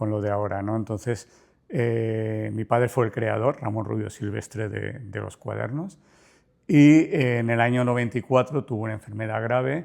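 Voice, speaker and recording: A man in an unremarkable speaking voice, at medium pitch, talks at a moderate pace with fairly even intonation in a very clean recording with a silent background. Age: 60s. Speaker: business owner. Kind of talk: interview.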